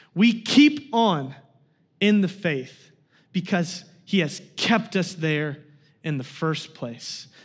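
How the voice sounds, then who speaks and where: In an American accent, a man speaks with a high pitch and lively intonation. Room echo can be heard. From Kansas. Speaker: guest preacher. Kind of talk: sermon. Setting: church.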